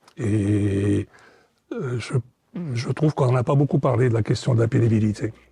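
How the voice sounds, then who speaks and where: A man speaks at a fairly slow pace in a medium pitch, his dark, mellow tone edged with vocal fry. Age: 60s. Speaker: retiree, former business owner. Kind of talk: interview. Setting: studio set. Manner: hesitant, many fillers.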